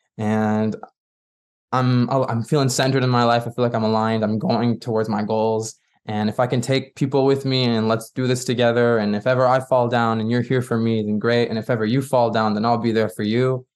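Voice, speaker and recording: The speaker talks at a fairly quick clip in a Quebec accent, with monotone, flat intonation. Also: man, medium pitch for a man. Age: 20s. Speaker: pop singer-songwriter. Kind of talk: interview.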